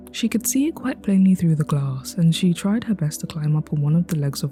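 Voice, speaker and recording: Against music in the background, a woman speaks at a moderate pace in a calm tone, her fairly low pitch carried by lively intonation. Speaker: storyteller. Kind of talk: reading aloud.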